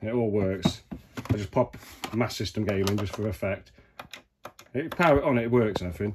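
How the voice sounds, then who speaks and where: A man with a British accent speaks at a fairly low pitch, with ordinary pitch variation. His pace is fairly quick, broken by long, frequent pauses. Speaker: retro game collector. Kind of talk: room tour. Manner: casual, conversational.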